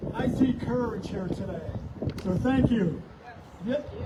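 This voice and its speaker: A man's extremely high voice with ordinary pitch variation, audible room echo and noticeable background noise. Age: 60s. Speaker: protester. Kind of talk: open mic speech.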